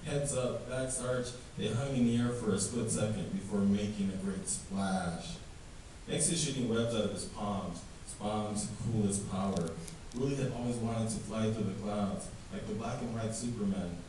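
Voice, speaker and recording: A man with a medium pitch talks against noticeable background noise. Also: ordinary pitch variation, moderate pace. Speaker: author. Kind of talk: fiction reading. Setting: live reading event.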